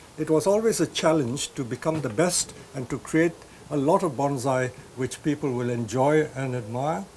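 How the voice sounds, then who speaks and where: A man's fairly high-pitched voice at a moderate pace over noticeable background noise. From India. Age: 70s. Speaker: bonsai nursery owner. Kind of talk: interview answers.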